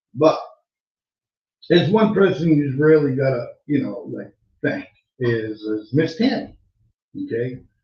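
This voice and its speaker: Fairly slow and somewhat breathy, a man with an American accent talks at a fairly high pitch, leaving long, frequent pauses. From Massachusetts. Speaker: online radio show host. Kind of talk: casual live-stream talk. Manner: halting, many fillers. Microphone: sounds far away, mic problem.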